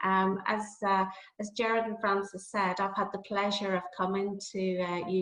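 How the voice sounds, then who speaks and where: Amid noticeable background noise, a woman with a medium-pitched voice speaks at a moderate pace in a monotone, flat intonation. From Northern Ireland. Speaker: nursing academic. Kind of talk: lecture. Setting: video call. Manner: hesitant, many fillers.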